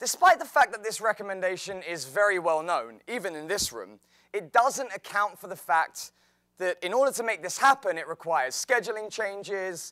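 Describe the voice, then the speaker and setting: A man's high, bright and sharp voice with an English accent, raised and projected, lively in intonation, dry and close with no echo, on a very clean recording with a silent background. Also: big swings in loudness. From England, outside London. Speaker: health and fitness teacher. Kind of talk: presentation talk.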